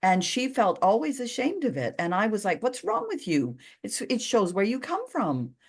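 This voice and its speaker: Her fairly high voice swings very widely in pitch, carries vocal fry, and moves at a moderate pace. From Canada. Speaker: healer and podcast host. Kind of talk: casual chat.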